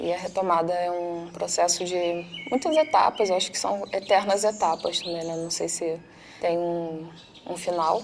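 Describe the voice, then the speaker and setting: The speech moves at a fairly slow pace with ordinary pitch variation over noticeable background noise. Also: woman. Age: 20s. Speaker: psychologist. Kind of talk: testimony.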